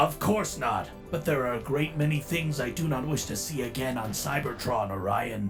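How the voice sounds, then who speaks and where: Clear music in the background behind a man's put-on character voice at a moderate pace. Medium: dub. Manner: curt, cold, formal.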